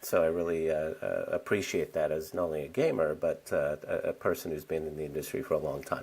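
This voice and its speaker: A man speaks at a fairly quick pace with hardly any pauses. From England. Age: 40s. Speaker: business executive. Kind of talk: podcast interview. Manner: halting, many fillers.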